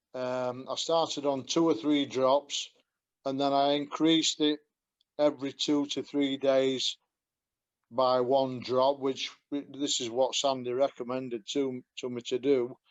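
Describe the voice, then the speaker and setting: A man at medium pitch speaks at a fairly slow pace with monotone, flat intonation. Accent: Yorkshire. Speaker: customer giving product testimonial. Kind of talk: testimony. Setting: call. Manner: halting, many fillers.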